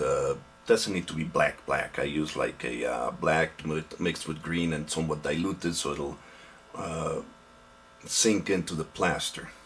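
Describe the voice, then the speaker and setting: This man talks at a fairly slow pace with noticeable background noise behind him. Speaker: hobby model maker. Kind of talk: casual hobby tutorial to camera. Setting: home, background aquarium pump buzzing. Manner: hesitant, halting.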